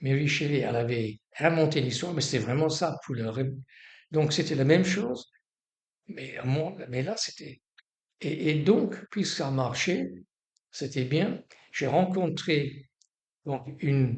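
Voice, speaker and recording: A man with a fairly high pitch talks very slowly and somewhat breathily, using lively intonation and long, frequent pauses. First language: English (speaking French). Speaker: storyteller. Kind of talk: life story interview. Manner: halting.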